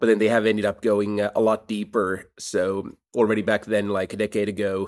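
Speaking at a fairly quick pace in a Finnish accent, a man keeps a fairly low pitch and a monotone, flat intonation on a very clean recording with a silent background. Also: dry, close sound with no echo. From Finland, Helsinki. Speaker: startup CEO. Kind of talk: interview.

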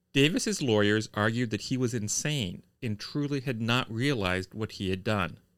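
Plain read-aloud speech, pitch varying in an ordinary way

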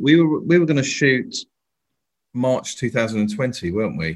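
Here a man uses a normal speaking voice at a medium pitch. He speaks at a moderate pace with lively intonation. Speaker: comedian and actor. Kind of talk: casual interview chat. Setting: remote call.

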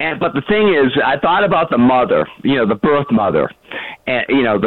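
A man speaks at a medium pitch with very wide pitch swings. Noticeable background noise sits behind him. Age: 60s. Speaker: caller. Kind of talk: casual chat. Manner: halting.

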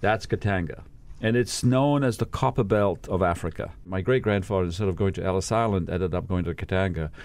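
The speech comes at a fairly quick pace with ordinary pitch variation. The recording is very clean, with a silent background. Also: man, very deep, low pitch for a man. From England. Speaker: nonprofit executive. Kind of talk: podcast interview.

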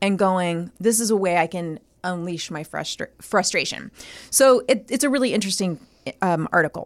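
A woman at medium pitch with ordinary pitch variation and a moderate pace, an ordinary speaking voice, on a very clean recording with a silent background. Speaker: podcast co-host. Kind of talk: casual chat. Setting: studio.

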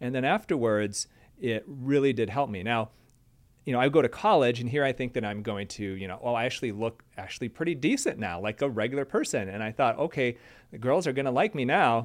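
A man's unremarkable speaking voice, medium in pitch, with an American accent and a fairly quick pace, in a very clean recording over a silent background. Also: ordinary pitch variation. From Michigan, US Midwest. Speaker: plastic surgeon. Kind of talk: casual chat.

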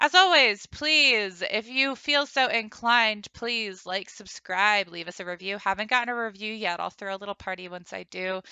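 With a normal speaking voice, a woman at a fairly high pitch talks at a moderate pace with lively intonation, big swings in loudness and hardly any pauses. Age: 20s. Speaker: podcast host. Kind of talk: casual interview.

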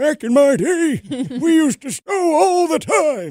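A man puts on a character voice at an extremely high pitch. He swings his pitch very widely and speaks at a fairly slow pace. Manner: gruff, reminiscing.

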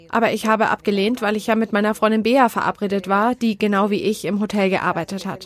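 A woman talks at a fairly quick pace and a medium pitch. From Spain, Madrid. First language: Spanish (speaking German). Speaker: terror attack survivor. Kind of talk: testimony.

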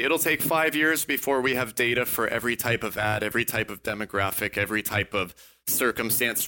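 A man with an American accent speaks fairly quickly in a bright, sharp tone at a medium pitch, his intonation fairly even, in a very clean recording with a silent background. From Texas. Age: 30s. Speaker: entrepreneur. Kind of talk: interview.

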